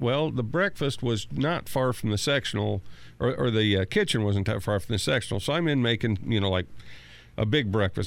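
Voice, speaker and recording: A man speaks at a fairly quick pace with vocal fry. His loudness stays very even. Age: 50s. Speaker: station manager. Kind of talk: casual storytelling. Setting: studio.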